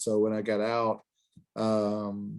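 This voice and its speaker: The speaker is a man. He talks with an Alabama accent. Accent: Southern US (Alabama). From US South, Birmingham, Alabama. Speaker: finance professor. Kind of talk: lecture. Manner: halting, many fillers.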